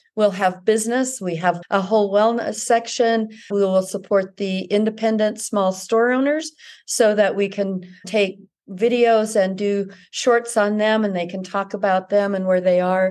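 At a moderate pace, a woman with an American accent talks in an unremarkable speaking voice at medium pitch, her intonation fairly even. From Utah (Ogden). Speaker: magazine editor. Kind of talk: casual interview.

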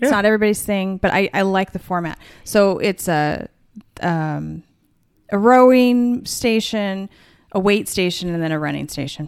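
With a plain, everyday voice, a woman talks at a moderate pace in a medium pitch with ordinary pitch variation. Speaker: podcast co-host. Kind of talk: casual chat.

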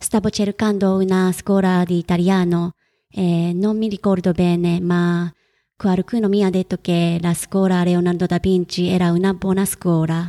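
A woman speaks at a medium pitch with a Japanese accent, in a dark, mellow tone and a flat, monotone delivery at a fairly slow pace. The recording is very clean with a silent background, a dry, close sound with no echo, and very even loudness. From Japan, Kagawa. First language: Japanese (speaking Italian). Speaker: freelance writer. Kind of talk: interview.

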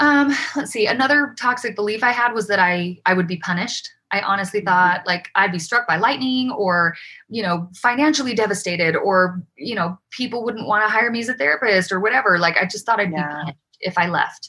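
Lively in intonation and bright and sharp in tone, a woman with a Utah accent talks at a fairly quick pace and a medium pitch. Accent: American, Utah. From Utah, Provo. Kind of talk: interview, personal story.

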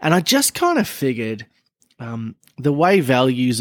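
In a very clean recording with a silent background and a dry, close sound without echo, a man speaks with an Australian accent. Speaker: car podcast co-host. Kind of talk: casual chat.

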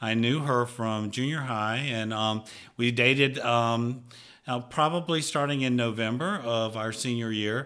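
A man with a Southern US accent, medium in pitch, bright and sharp in tone, at a fairly slow pace with fairly even intonation. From Mississippi, US South. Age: 60s. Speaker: retired pharmaceutical industry professional. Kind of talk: casual interview chat. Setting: studio.

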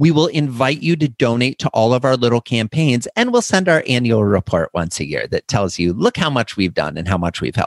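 Animated speech with an American accent and very wide pitch swings, in a dry, close sound with no echo. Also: man. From US Midwest, northwestern Iowa. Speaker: customer experience author and speaker. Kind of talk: interview.

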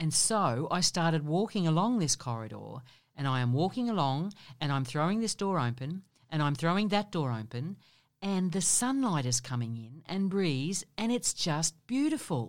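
In a very clean recording with a silent background, a woman with a fairly low pitch uses very wide pitch swings. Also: moderate pace. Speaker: podcast co-host. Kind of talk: narrated elder life story, read aloud in Emma's first-person voice.

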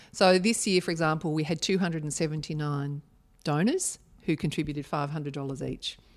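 In a very clean recording with a silent background, a woman with an Australian accent speaks fairly quickly in a very deep, low pitch. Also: fairly even intonation. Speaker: charity foundation chief executive. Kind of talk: podcast interview.

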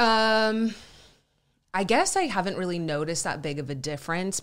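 A woman with an American accent talks at a moderate pace with ordinary pitch variation, recorded very cleanly against a silent background. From Southern California and Texas (San Diego, Dallas area). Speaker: actress and writer. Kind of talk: casual interview chat.

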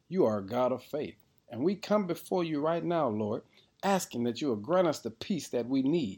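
At a moderate pace, a man with a warm tone speaks with very wide swings in pitch. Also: quiet background. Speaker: devotional prayer leader. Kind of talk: fervent prayer, led aloud to God. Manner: warm, reverent, building in intensity toward a declarative "amen".

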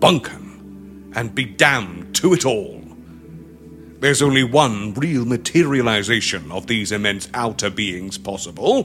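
A booming put-on character voice from a man, at a fairly slow pace, over light background noise.

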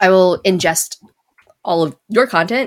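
A woman speaks with an American accent. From Las Vegas, Nevada, US. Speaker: video game community manager. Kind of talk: casual chat. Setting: live-streamed podcast.

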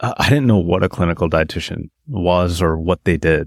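The speech moves at a fairly quick pace with ordinary pitch variation. The recording is very clean and dry, close with no echo, over a silent background. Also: man. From northern British Columbia, Canada (small town). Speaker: podcast co-host sharing his recovery story. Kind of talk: personal testimony in interview.

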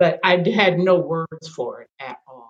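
A woman speaks at a very slow pace, somewhat breathy. The sound is dry and close, with no echo. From Kentucky, near Louisville. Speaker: retired educator. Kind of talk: interview.

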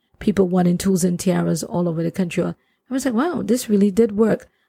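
In a Trinidadian accent, a woman speaks at a fairly quick pace and medium pitch with ordinary pitch variation. Her tone is dark, mellow and somewhat breathy, with a dry, close sound and no echo. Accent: Trinidadian Caribbean. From Trinidad and Tobago. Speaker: plumber and nonprofit founder. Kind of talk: casual interview conversation.

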